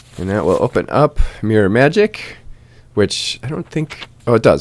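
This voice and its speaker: Dry and close with no echo, a man's medium-pitched voice with vocal fry moves at a fairly quick pace. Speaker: gaming video creator. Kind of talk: game tutorial commentary. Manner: casual, filler-heavy.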